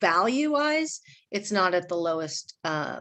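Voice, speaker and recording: A normal speaking voice from a woman, fairly low in pitch, with lively intonation at a moderate pace against a quiet background. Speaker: school district finance administrator. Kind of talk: budget presentation to a school board. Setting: school board meeting.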